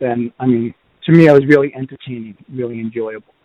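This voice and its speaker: The speaker, with a Boston accent, keeps a fairly even intonation. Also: man. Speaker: podcast host. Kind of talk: casual reviews podcast. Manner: halting with fillers.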